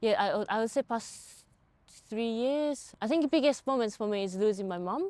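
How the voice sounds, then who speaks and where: With a Japanese accent, a woman talks in a dark, mellow tone with lively intonation. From rural Japan. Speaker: movement artist. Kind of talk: casual chat. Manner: soft-spoken.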